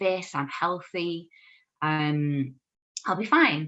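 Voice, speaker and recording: An Irish accent comes through in a bright, sharp tone. The background stays quiet. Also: woman. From Ireland, Kildare. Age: 30s. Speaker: dietitian. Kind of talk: podcast interview, personal story.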